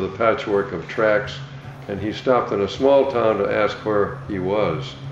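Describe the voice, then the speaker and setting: A man with an American accent speaks at a moderate pace in a fairly low voice, his pitch varying in an ordinary way, with noticeable background noise and audible room echo. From New York State (Troy). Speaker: war veteran. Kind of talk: testimony.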